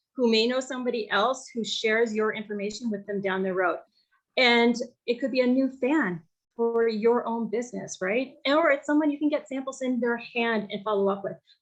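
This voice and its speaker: A woman speaks with a fairly high pitch and ordinary pitch variation. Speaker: direct sales team leader. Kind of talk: training call. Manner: fast.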